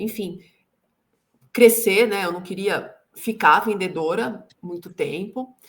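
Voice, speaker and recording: A woman's fairly high voice moves very slowly, its pitch shifting in an ordinary way. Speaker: sales consultant and executive coach. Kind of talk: interview. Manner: slow, measured pace.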